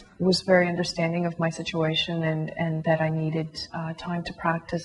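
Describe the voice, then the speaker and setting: In a Canadian accent, a woman talks at a fairly quick pace with a fairly low pitch and monotone, flat intonation amid noticeable background noise. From Canada, Toronto area. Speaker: concert violinist. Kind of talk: interview testimony. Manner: hesitant, many fillers.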